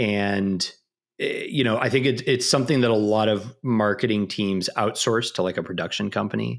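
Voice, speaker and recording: With a Midwestern accent, a man speaks at a moderate pace in a fairly low pitch and fairly even intonation, on a very clean recording with a silent background. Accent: Midwest US. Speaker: marketing executive. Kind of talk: interview. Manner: halting, many fillers.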